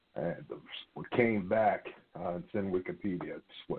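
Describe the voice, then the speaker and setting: Moderately paced speech from a man, fairly low in pitch. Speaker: caller. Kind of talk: call-in discussion. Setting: phone call. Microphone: phone line.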